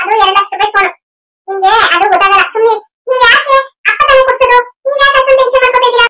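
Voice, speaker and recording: A woman talks at a very fast pace in an extremely high, cartoonish character voice. Her loudness stays very even throughout. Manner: confident, persuasive, reassuring.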